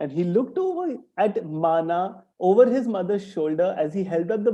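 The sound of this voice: Lively intonation runs through an unforced reading voice. The background stays quiet.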